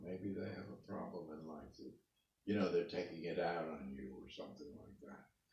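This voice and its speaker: Very deep and low in pitch, a man speaks with vocal fry at a moderate pace. His loudness swings widely. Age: 80s+. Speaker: interviewee, parent of the interviewer. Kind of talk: family interview.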